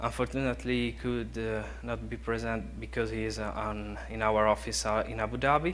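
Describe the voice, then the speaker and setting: A man with a very deep, low pitch and vocal fry talks at a fairly quick pace in a monotone, flat intonation with hardly any pauses, and audible room echo surrounds him. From Italy, Bologna. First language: Italian. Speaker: conference speaker on BIM implementation. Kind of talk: conference class presentation. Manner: halting, many fillers.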